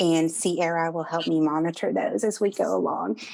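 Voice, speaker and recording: At a moderate pace, a woman with a Southern US accent talks in a fairly low pitch. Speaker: marketing speaker. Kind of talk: presentation. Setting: Zoom video call. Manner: animated.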